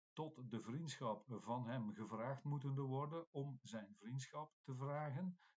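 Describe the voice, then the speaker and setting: A man's medium-pitched, somewhat breathy voice at a very slow pace, with ordinary pitch variation and hardly any pauses. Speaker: Latin teacher. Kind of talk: classroom text explanation. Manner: hesitant, explanatory.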